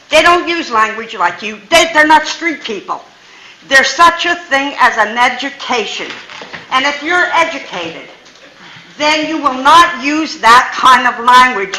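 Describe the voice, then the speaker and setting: A woman with a high pitch projects her raised voice at a fairly slow pace with lively intonation, amid audible room echo and noticeable background noise. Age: 80s+. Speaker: resident speaking at public comment. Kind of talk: public comment at council meeting. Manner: animated.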